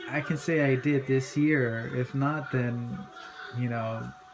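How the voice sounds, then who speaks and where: A man talks at a medium pitch with fairly even intonation. Noticeable background noise can be heard. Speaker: hobby pepper grower vlogger. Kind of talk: casual video tutorial. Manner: slow; halting, many fillers.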